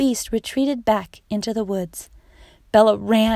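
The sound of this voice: Unforced reading from one voice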